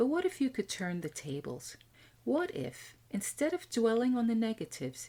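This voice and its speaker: Over a very clean recording with a silent background, a woman with an American accent speaks at a moderate pace in a fairly high-pitched, somewhat breathy voice with a dark, mellow tone and very wide pitch swings. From USA. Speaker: podcast host, IT executive coach. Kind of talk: scripted podcast monologue.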